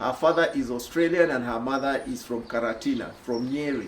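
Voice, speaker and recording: With an East African accent, a man talks at a fairly slow pace, with audible room echo and noticeable background noise. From Kenya. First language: Swahili. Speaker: social commentator. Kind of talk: video monologue. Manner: hesitant with fillers.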